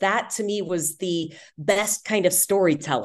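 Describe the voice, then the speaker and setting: A woman's ordinary speaking voice at medium pitch, lively in intonation, over a quiet background. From Texas, Houston. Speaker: sports broadcaster and communication coach. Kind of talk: interview.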